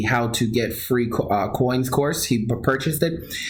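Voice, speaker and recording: There's audible room echo as a man with an American accent speaks at medium pitch, somewhat breathy, with ordinary pitch variation. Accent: New York accent, comes out at times. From Long Island, New York. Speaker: crypto trading course seller and video host. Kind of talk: casual livestream talk with sales pitch. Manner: animated; halting, many restarts and fillers.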